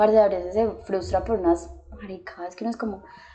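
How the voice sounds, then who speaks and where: A woman at a medium pitch, talking at a very fast pace over noticeable background noise. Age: 20s. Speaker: doctor. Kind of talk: casual chat.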